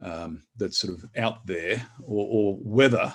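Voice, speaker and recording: A fairly low-pitched man with a strong Australian accent, on a very clean recording with a silent background. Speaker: academic. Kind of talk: lecture. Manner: hesitant, many fillers.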